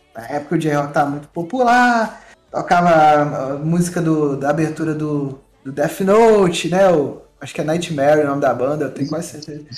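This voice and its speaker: Using an ordinary speaking voice, a man talks at a moderate pace and a fairly high pitch, with ordinary pitch variation and big swings in loudness. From Brazil, Minas Gerais (Muriaé). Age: 30s. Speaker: event organizer and photographer. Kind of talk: casual chat.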